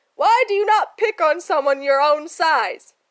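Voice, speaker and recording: Loud and put-on, this character voice moves at a moderate pace with very wide pitch swings. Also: woman, extremely high pitch for a woman. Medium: read story. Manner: dramatic, laughs loudly.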